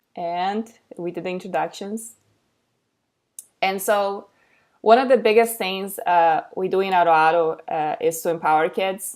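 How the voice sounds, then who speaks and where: A woman speaks with a Portuguese accent. Her pitch is medium, with ordinary variation. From Brazil. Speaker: educator and content creator. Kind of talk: webinar presentation. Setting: online webinar. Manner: halting, many fillers.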